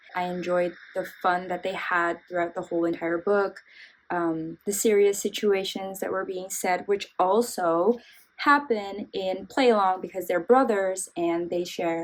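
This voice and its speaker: A woman with a non-native accent speaks fairly slowly at medium pitch, using ordinary pitch variation. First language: not English. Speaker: book reviewer. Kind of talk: casual book review vlog. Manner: casual, filler-heavy.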